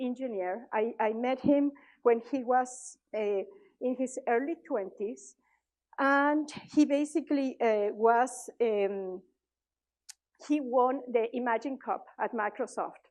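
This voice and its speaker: A woman speaks at a fairly slow pace with a Mexican accent. Her pitch is high with ordinary variation, and the background is quiet. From Mexico. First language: Spanish. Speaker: conference speaker, tech leader. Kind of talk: conference talk. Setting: stage with audience. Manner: hesitant, many fillers.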